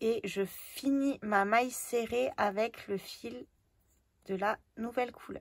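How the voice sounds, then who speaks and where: Very slow in pace, a woman speaks with a fairly high pitch. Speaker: crochet teacher. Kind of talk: tutorial. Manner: slow, step-by-step.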